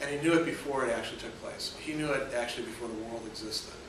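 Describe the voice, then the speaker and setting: There is audible room echo and noticeable background noise as a man speaks at a medium pitch with ordinary pitch variation. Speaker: philosophy professor. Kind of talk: classroom lecture. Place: classroom. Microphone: camera far.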